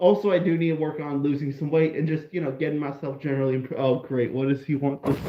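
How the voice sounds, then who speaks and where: A man talks at a very fast pace with hardly any pauses and a fairly high pitch. His intonation is fairly even, and there is noticeable background noise. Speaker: live streamer. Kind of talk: casual live stream chat.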